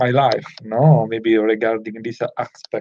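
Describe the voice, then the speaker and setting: A man speaks with a non-native accent in a dark, mellow tone. The sound is dry and close, with no echo. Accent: non-native English speaker. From Italy. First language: Italian. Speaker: self-improvement vlogger. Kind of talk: casual talk to camera. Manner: halting, many fillers.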